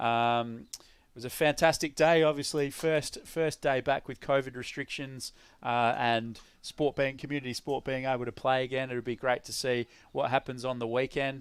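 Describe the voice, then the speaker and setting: A man speaks at a moderate pace in a medium pitch, with an Australian accent. His intonation stays monotone and flat. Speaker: cricket commentator. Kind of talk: live commentary.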